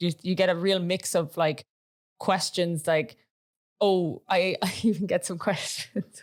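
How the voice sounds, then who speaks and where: A woman with an Irish accent talks at a fairly slow pace with fairly even intonation. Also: medium pitch for a woman. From Ireland. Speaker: podcast co-host, AI content creator. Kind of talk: casual chat.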